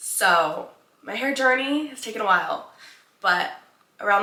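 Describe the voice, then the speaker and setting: A woman's very slow speech with lively intonation and audible room echo. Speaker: lifestyle vlogger. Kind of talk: casual get-ready-with-me vlog.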